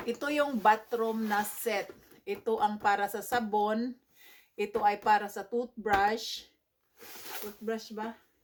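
A woman speaks at a very slow pace in a fairly high pitch. Her intonation is monotone and flat. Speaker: vlogger. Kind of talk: casual vlog unboxing. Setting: at home in bedroom.

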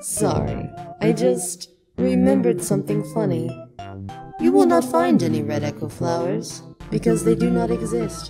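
Faint music plays behind a put-on character voice pitched very deep and low at a moderate pace. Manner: cryptic, deadpan, whimsical.

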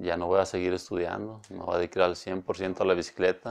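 A man speaks with a very deep, low pitch. The background is quiet. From Mexico, Villanueva. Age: 40s. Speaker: professional cyclist. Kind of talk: interview. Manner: halting. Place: studio. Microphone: lapel.

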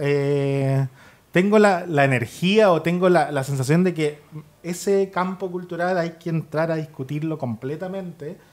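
A man with a high pitch at a moderate pace. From Chile. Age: 20s. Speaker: writer; guest. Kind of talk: panel discussion. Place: studio. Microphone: studio mic.

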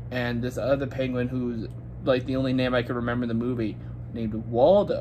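A man speaks against noticeable background noise. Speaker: movie reviewer. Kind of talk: casual movie review vlog. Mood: relaxed, mildly unimpressed. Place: home room. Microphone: phone near.

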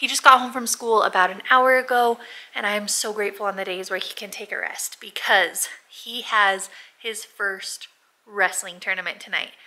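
A woman uses a raspy put-on character voice at medium pitch, speaking quietly. Her pace is moderate and her intonation fairly even. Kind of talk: casual vlog chat. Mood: warm, emotional, grateful.

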